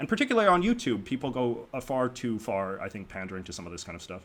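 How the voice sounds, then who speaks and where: Over noticeable background noise, a man with a strong Canadian accent talks at a very fast pace. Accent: strong Canadian accent, 'oo' vowels. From Canada. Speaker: YouTuber and commentator. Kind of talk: podcast interview. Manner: animated.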